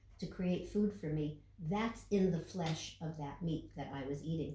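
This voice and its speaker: With audible room echo, the voice moves at a fairly slow pace with ordinary pitch variation. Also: woman. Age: 70s. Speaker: yogi and podcast co-host. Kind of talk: casual chat.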